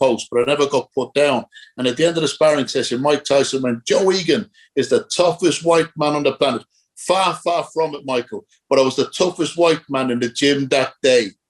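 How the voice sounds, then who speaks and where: Dry and close with no echo, a man with a Dublin accent talks at a fairly quick pace and a fairly high pitch, with ordinary pitch variation. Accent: Irish (Dublin). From Ireland, Dublin. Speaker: former boxer. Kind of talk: casual interview.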